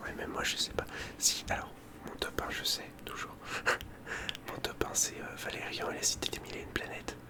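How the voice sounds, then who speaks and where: Whispering at a moderate pace with long, frequent pauses, a man is heard over noticeable background noise. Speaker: ASMR content creator. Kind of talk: casual ASMR chat, whispered. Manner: whispering, soft-spoken.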